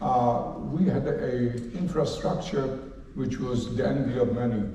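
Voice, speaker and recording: A man talks with lively intonation, his voice carrying audible room echo over noticeable background noise. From Poland, Łódź. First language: Polish. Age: 80s+. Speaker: Holocaust survivor. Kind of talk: lecture.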